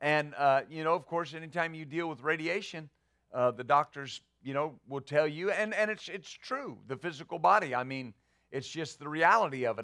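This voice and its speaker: A man speaks at a moderate pace in a fairly high voice with a bright, sharp tone and ordinary pitch variation. The recording is very clean, the background silent. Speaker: pastor. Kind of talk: sermon. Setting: church. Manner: intense.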